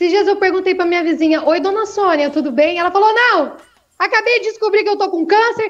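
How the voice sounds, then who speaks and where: A woman speaks at an extremely high pitch and a very fast pace. Her pitch varies in an ordinary way. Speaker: stand-up comedian. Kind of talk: stand-up. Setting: video call from phone. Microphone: echo on her audio.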